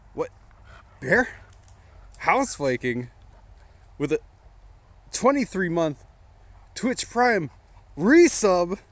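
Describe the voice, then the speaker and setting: A man talks at a very slow pace. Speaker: streamer. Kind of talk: casual chat. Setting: outdoors. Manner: whispering.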